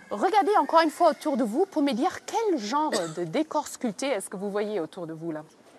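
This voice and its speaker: At a fairly quick pace, a woman with a German accent speaks at a high pitch with very wide pitch swings, over noticeable background noise. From Germany. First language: German (speaking French). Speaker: castle tour guide for school groups. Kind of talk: guided tour for children. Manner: animated.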